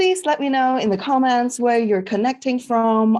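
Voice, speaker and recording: The voice comes in a Cantonese accent. The recording is very clean, and the background is silent. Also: woman. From Hong Kong. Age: 50s. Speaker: network marketing team leader teaching a class. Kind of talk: livestream class. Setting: Facebook live stream. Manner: animated.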